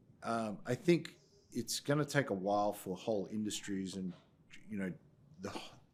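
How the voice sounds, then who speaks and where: This man has a fairly low pitch and an Australian accent, speaking at a moderate pace. His pitch varies in an ordinary way, broken by long, frequent pauses. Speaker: tech company CEO. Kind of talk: podcast interview.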